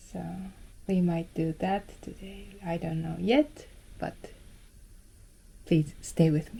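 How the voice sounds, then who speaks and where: A somewhat breathy voice with a dark, mellow tone speaks at a very slow pace, with ordinary pitch variation and long, frequent pauses. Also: woman, fairly low pitch for a woman. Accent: Japanese. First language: Japanese. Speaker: film photography vlogger. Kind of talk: casual vlog talk. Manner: halting.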